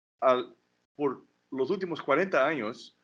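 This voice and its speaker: A man speaks with a non-native accent and ordinary pitch variation. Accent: non-native Spanish, rusty. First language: Portuguese (speaking Spanish). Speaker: political scientist. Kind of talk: academic talk. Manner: halting, repetitions.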